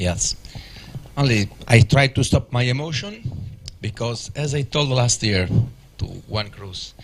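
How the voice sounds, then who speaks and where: With an Italian accent, a man speaks at a fairly slow pace with long, frequent pauses, at medium pitch with ordinary pitch variation, over noticeable background noise. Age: 50s. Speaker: rally organizer. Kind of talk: press conference interview. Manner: halting.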